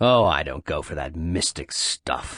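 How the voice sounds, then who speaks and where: Growling in a put-on character voice, a man speaks at a very deep, low pitch. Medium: read story. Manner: cold, blunt.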